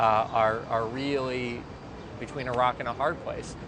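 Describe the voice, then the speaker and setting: A man's medium-pitched voice with an American accent, fairly even intonation and a moderate pace, over noticeable background noise. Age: 30s. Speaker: activist and nonprofit leadership trainer. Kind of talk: interview. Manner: hesitant, many fillers.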